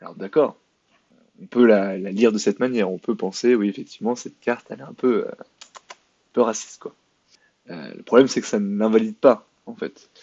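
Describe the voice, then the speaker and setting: At a moderate pace, a man of medium pitch talks with ordinary pitch variation and big swings in loudness. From France. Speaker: YouTube commentator. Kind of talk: commentary video monologue. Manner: hesitant, many fillers and repetitions; sarcastic.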